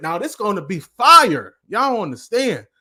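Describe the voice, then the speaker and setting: A man is shouting in a raised, projected voice with a high pitch and a bright, sharp tone. His delivery is animated and passionate, in a very clean recording with a silent background. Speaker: motivational speaker and life coach. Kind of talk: live-streamed motivational talk. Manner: animated, passionate; loud, yelling.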